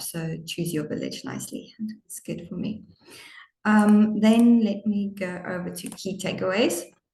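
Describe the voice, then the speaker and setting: A woman's somewhat breathy voice moves at a moderate pace with fairly even intonation. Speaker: webinar moderator summarizing session. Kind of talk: closing summary of a webinar.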